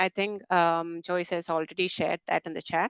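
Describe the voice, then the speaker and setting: Speaking with a Keralan accent, a woman uses a fairly low pitch and a fairly quick pace. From India (Kerala, Malayalam speaker). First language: Malayalam. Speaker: technical program manager, conference speaker. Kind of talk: webinar presentation. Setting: online webinar, screen sharing.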